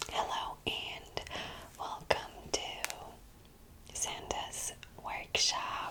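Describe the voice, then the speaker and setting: Someone whispers over noticeable background noise. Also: woman. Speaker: ASMR creator. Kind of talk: ASMR medical roleplay. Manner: whispered, soft-spoken.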